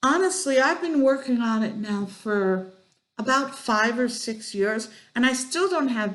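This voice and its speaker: Through audible room echo, a woman speaks very slowly with lively intonation. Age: 60s. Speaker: mental health blogger. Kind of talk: video blog talk. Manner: halting.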